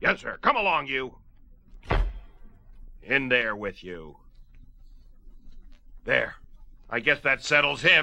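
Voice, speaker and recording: A man puts on a raspy character voice at a medium pitch, with lively intonation. He goes at a fairly slow pace with long, frequent pauses. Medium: audio drama. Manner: gruff, barking.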